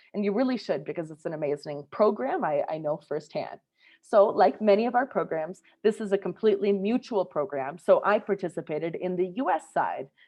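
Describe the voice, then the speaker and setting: A woman with an American accent talks in an unremarkable speaking voice at medium pitch, with a fairly quick pace and lively intonation. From US Midwest, Minnesota. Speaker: scholarship program advisor. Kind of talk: informational webinar presentation.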